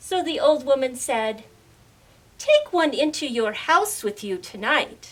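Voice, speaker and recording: At a fairly slow pace, a woman uses a high, put-on character voice with very wide pitch swings. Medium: read story. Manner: calm, deliberate.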